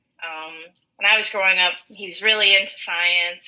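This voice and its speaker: With a Minnesotan accent, a woman speaks at a medium pitch and a moderate pace. Her tone is bright and sharp. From rural western Minnesota. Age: 20s. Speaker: podcast co-host. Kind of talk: casual chat. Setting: online call.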